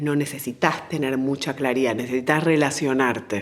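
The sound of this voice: A woman speaks at a fairly slow pace with ordinary pitch variation. Her pitch is extremely low.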